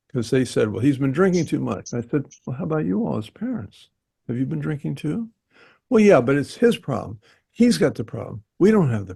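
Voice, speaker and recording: Over a quiet background, a man with a dark, mellow tone and vocal fry talks at a fairly quick pace, his medium-pitched voice making very wide pitch swings. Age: 80s+. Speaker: therapist. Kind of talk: meeting discussion, personal anecdote.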